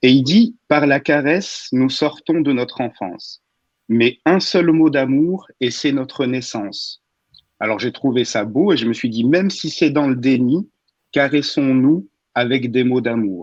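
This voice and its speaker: A man with a fairly high pitch speaks very slowly, his intonation lively. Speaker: radio humor columnist. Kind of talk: humorous radio column.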